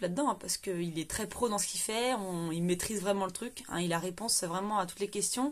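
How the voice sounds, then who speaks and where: Ordinary pitch variation in a woman's voice at a medium pitch. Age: 20s. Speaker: client giving a testimonial, herself a coach. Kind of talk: testimony. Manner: hesitant, many fillers.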